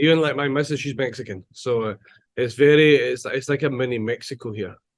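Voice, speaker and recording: Fairly high in pitch, a man with a Scottish accent speaks at a fairly quick pace. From Scotland. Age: 40s. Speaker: chef. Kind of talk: casual chat.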